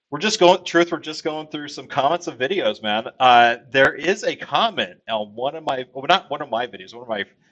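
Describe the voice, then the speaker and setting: Here a man speaks with an American accent at a fairly high pitch, with vocal fry. His moderate pace sits in a dry, close sound with no echo. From Texas. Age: 40s. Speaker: gaming streamer. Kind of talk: casual livestream chat. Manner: hesitant, many fillers.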